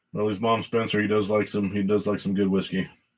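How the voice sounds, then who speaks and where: A man's fairly low pitch in monotone, flat intonation. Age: 60s. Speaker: whiskey livestreamer. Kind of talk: casual livestream chat. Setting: livestream on laptop camera. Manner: halting, many fillers.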